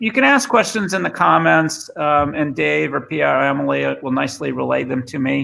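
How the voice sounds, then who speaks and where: This man has a Boston accent. He talks at a moderate pace. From Boston, US. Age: 50s. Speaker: former tech executive and speaker. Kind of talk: presentation. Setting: remote video session. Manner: halting, many fillers.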